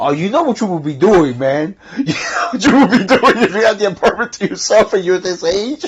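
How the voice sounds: A man speaks at a fairly quick pace with a high pitch. His voice has a slightly husky edge and lively intonation.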